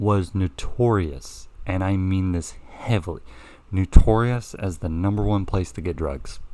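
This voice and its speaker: A man with an American accent, very deep and low in pitch, dark and mellow in tone, with ordinary pitch variation and a fairly slow pace. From the Carolinas, US South. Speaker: podcast co-host. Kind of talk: casual chat.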